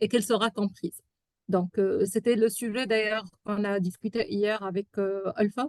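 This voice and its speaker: Speaking at a moderate pace with an Arabic accent, a woman keeps a medium pitch and fairly even intonation, the sound dry and close with no echo. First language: Arabic (speaking French). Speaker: software testing expert. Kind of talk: webinar talk. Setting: online webinar. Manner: halting, many hesitations.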